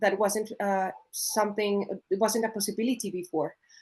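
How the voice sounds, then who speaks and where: Speaking at a moderate pace with a Colombian accent, a woman talks at a fairly high pitch against a quiet background. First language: Spanish. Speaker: coffee producer. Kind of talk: panel discussion. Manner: halting, with many fillers.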